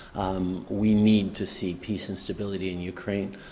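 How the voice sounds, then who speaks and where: Against light background noise, a man speaks in a very deep, low pitch with monotone, flat intonation. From Canada. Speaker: politician. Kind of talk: press conference answer. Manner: mumbling, stumbling, hesitant. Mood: measured, hesitant. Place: hall. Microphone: podium.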